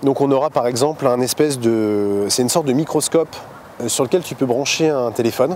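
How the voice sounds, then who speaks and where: Animated in tone, a man talks at a fairly quick pace with a medium pitch. His pitch variation is ordinary, and background noise is noticeable. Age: 30s. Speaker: sailor and family expedition leader. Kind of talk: casual interview. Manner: animated, many hesitations.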